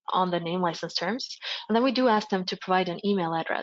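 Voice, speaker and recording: Speaking with a Swedish accent, a woman holds a medium pitch with ordinary pitch variation. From Sweden, Gothenburg. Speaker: project presenter. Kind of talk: webinar software demo. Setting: online webinar. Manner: hesitant with fillers.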